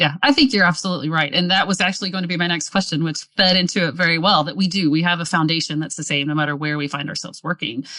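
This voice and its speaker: A woman with a Southern US accent, fairly low in pitch, bright and sharp in tone, at a very fast pace with ordinary pitch variation. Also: hardly any pauses. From US South. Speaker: podcast host. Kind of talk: podcast interview.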